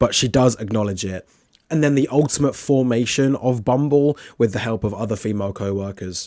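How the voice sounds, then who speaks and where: Over a very clean recording with a silent background, a man with a British accent speaks at a moderate pace in a dark, mellow tone with ordinary pitch variation. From Britain. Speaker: film reviewer. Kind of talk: film review monologue.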